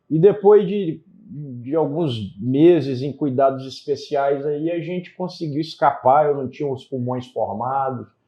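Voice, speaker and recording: A fairly high male voice at a fairly slow pace, with ordinary pitch variation. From Brazil, Pará, mixed with Espírito Santo and Ceará. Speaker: politician, former federal police chief. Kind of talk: interview.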